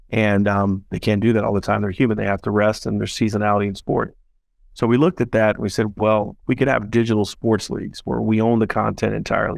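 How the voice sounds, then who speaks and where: Over a quiet background with a dry sound and no echo, a man talks at a very fast pace with a fairly low pitch and fairly even intonation. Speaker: startup founder and CEO. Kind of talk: interview. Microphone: video call.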